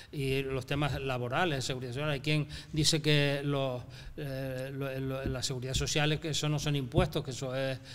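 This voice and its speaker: A man speaks at a moderate pace with a fairly high pitch. His intonation stays monotone and flat. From Canary Islands, La Palma. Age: 70s. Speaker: businessman, business association president. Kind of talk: interview conversation. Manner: hesitant, many fillers.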